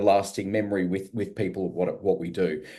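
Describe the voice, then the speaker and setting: A man with an Australian accent speaks at a moderate pace in a dark, mellow tone. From Australia, Melbourne. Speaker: radio business consultant. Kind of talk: testimony.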